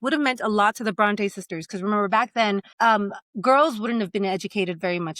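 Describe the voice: A quiet background behind plain reading aloud, with ordinary pitch variation.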